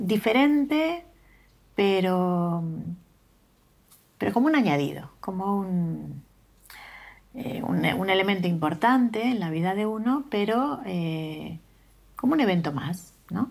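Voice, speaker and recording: Speaking very slowly with long, frequent pauses, a woman uses medium pitch and very wide pitch swings. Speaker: political exile, documentary interviewee. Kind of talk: documentary interview. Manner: halting, many repetitions and fillers.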